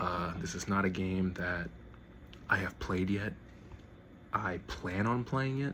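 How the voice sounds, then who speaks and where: Speaking very slowly with long, frequent pauses, a man uses a very deep, low voice with ordinary pitch variation as the room echo can be heard. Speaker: gaming YouTuber. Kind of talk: casual collection showcase. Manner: halting, repeated words.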